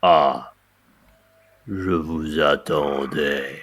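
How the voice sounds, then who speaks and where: Using a put-on character voice, a man speaks at a very deep, low pitch in a menacing tone. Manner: slow, menacing, knowing.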